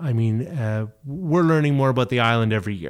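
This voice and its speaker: With a New Brunswick accent, the speaker moves at a moderate pace with lively intonation on a very clean recording with a silent background. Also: man. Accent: Atlantic Canadian (New Brunswick). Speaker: heritage site director. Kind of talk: casual chat.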